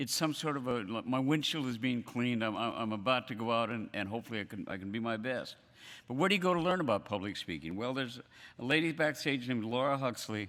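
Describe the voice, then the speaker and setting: A man talking at a very fast pace with lively intonation on a very clean recording with a silent background. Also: medium pitch for a man. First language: not English. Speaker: event host. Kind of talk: stage introduction. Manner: halting.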